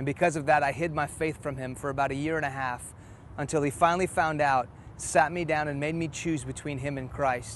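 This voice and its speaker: A man speaks with a fairly high pitch. His intonation stays fairly even. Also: fairly quick pace. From Houston, Texas (childhood partly in Iran). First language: Farsi. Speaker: preacher. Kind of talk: testimony.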